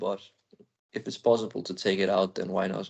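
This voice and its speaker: A man with a non-native accent talks at a fairly quick pace. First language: Danish. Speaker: speedway rider. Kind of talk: interview. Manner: calm.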